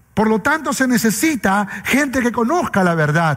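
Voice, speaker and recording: The man's pitch is high and swings very widely. Noticeable background noise sits behind him. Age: 40s. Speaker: pastor. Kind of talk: sermon.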